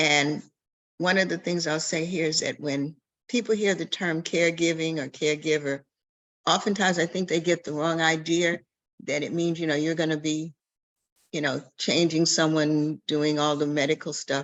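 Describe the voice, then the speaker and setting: Her pitch is very deep and low for a woman. The intonation remains fairly even throughout. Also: moderate pace. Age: 70s. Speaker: family caregiving advocate. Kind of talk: presentation in an online community chat.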